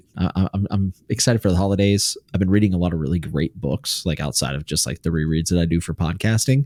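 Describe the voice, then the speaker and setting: A man with a slight West Virginia accent speaks at a fairly quick pace in a very deep, low pitch with ordinary pitch variation. The recording is very clean with a silent background, dry and close with no echo. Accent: very light West Virginia. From US, West Virginia. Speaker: podcast co-host. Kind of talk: casual chat.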